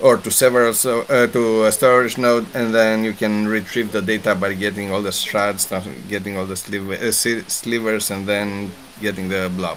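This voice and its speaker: Over noticeable background noise, a man with a fairly low pitch talks at a moderate pace in monotone, flat intonation. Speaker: blockchain developer presenter. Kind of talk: technical presentation.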